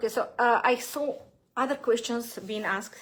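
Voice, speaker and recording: A woman with a non-native accent speaks at a moderate pace, her intonation fairly even. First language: not English. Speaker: gut health coach. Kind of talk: live Q&A. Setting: livestream. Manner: halting, many fillers.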